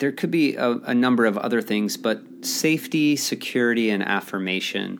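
In a normal speaking voice, a man talks at a moderate pace and a medium pitch. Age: 30s. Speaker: podcast host, executive coach. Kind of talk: solo monologue podcast.

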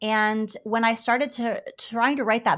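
At a fairly slow pace, a woman talks in a fairly high pitch with fairly even intonation, captured in a very clean recording with a silent background. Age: 40s. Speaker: PhD student in New Testament. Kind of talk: interview.

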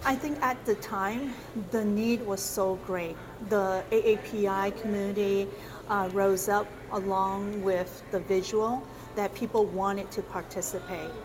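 At a fairly slow pace, a woman uses a normal speaking voice of medium pitch with fairly even intonation. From South Korea, raised in US since 1977. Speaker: political candidate. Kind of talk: interview.

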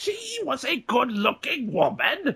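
A man's put-on character voice, extremely high, with very wide pitch swings and a fairly slow pace. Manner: exaggerated.

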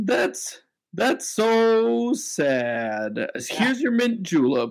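Using a put-on character voice, a man speaks very slowly at a high pitch with very wide pitch swings.

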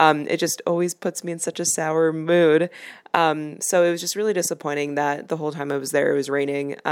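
Speaking with a Chicago accent, a woman uses a very deep, low pitch and monotone, flat intonation at a fairly quick pace, on a very clean recording with a silent background. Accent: Chicago American English. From Chicago, US Midwest. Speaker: travel podcast host. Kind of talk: casual travel monologue and interview. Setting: outdoors at a busy cafe (interview part).

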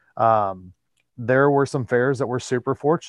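A man's voice at a moderate pace with ordinary pitch variation, recorded dry and close with no echo over a quiet background. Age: 40s. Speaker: entertainment agent and entertainer. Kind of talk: casual interview. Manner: halting, many fillers.

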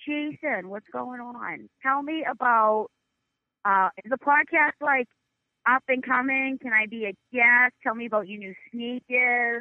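With a Boston accent, a woman speaks very slowly in a high pitch, with ordinary pitch variation and big swings in loudness. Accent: thick Boston. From North Shore near Boston. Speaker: podcast guest.

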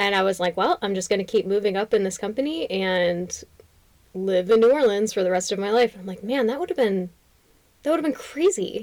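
A woman at medium pitch talks at a fairly quick pace in an unremarkable speaking voice, with ordinary pitch variation. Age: 30s. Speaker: podcast co-host and nurse. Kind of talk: casual chat.

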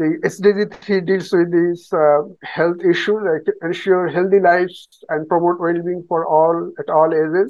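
At a fairly slow pace, a man speaks in a high voice with flat, monotone intonation. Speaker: public health researcher. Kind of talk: conference presentation. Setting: video call. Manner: halting.

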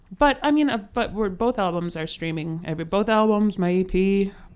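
A woman with an American accent talks at a moderate pace, her pitch swinging very widely. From US Midwest, Kenosha, Wisconsin. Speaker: singer and theater actress. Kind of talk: casual interview chat. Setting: remote call.

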